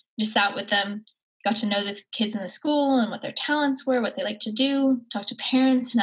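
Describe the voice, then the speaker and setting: At a very fast pace, a woman with a Maritime Canadian accent speaks at a fairly high pitch with fairly even intonation. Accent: Canadian (Maritimes). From Cape Breton, Nova Scotia, Canada. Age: 20s. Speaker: nonprofit founder. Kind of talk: interview.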